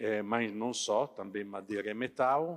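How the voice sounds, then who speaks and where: At a very slow pace, a man speaks with a non-native accent. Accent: foreign accent in Portuguese. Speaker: company sales director. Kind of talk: trade fair talk. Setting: stage with audience. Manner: halting, many filler sounds.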